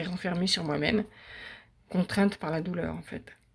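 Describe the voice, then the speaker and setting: Her pitch is medium for a woman, and her intonation stays fairly even. This woman keeps to a moderate pace. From western France. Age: 60s. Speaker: patient giving testimonial. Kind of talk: testimony. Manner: halting, many hesitations.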